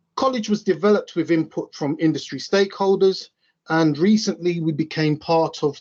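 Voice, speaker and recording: A fairly high-pitched man with an East London accent, lively intonation and a fairly quick pace. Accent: East End London. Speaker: railway signalling trainer. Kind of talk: conference presentation.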